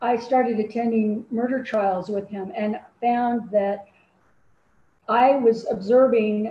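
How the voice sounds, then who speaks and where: Fairly high-pitched and somewhat breathy, a woman with a General American accent, at a fairly slow pace with fairly even intonation. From Colorado, Denver. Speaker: true crime writer. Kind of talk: interview.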